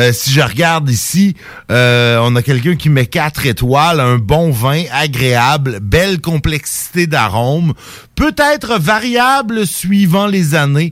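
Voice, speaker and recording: The speaker uses a Quebec accent and talks at a very slow pace. Pitch swings very widely while loudness stays very even. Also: man, fairly high pitch for a man. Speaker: community radio host. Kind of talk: casual chat. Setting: studio.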